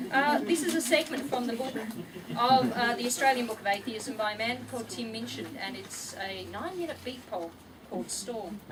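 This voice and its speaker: Over noticeable background noise, a woman speaks at a fairly quick pace in a high pitch with lively intonation. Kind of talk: poetry reading. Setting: live event.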